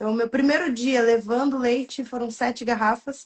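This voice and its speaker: A woman with a fairly high pitch and fairly even intonation speaks in an ordinary speaking voice. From rural interior of São Paulo state, Brazil. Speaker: entrepreneur and coach. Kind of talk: interview. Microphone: far from the mic, sounds quiet.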